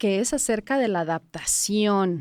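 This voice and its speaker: The sound is dry and close, without echo. Across it, a woman's pitch swings very widely. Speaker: podcast host. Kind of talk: podcast interview. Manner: animated.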